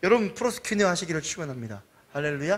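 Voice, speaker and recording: A man talks in a high-pitched voice. His pitch swings very widely. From Jeolla region, South Korea. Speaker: pastor. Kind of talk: sermon. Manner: animated.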